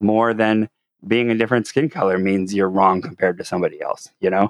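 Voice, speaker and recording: With an unremarkable speaking voice, a man talks at a fairly quick pace in a fairly low pitch, in a dry, close sound with no echo and a quiet background. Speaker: podcast co-host. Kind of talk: casual chat.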